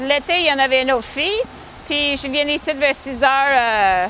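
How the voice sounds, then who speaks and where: A woman speaks in a raised, projected voice at a moderate pace, her pitch high, with noticeable background noise. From Manitoba, western Canada. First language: English (speaking French). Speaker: horse-drawn carriage driver. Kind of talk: interview.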